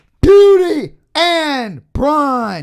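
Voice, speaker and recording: Loud, high-pitched shouting. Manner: loud, shouted into a microphone.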